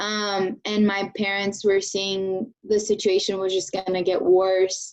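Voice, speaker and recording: Speaking very slowly with a Spanish accent, a woman keeps a monotone, flat intonation. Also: medium pitch for a woman. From Venezuela, Maracaibo; moved to Oklahoma at 10. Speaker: engineering graduate student. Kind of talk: interview.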